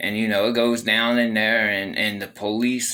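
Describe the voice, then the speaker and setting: Audible room echo surrounds a man whose fairly low voice has a bright, sharp tone. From Baltimore, Maryland. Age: 40s. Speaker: former prisoner telling his story. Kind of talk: casual first-person storytelling monologue. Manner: conversational with many fillers.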